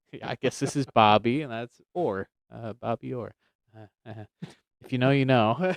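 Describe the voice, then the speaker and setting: A man's medium-pitched voice with ordinary pitch variation at a moderate pace, long and frequent pauses, big swings in loudness, and a dry, close sound with no echo. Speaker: podcast co-host. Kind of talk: casual chat about Bible topics. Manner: soft-spoken.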